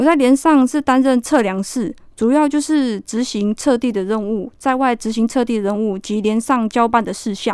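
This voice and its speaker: A woman with an unremarkable speaking voice and a fairly high pitch talks at a moderate pace with ordinary pitch variation and hardly any pauses. The recording is very clean, with a silent background. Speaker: army sergeant. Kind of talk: radio interview.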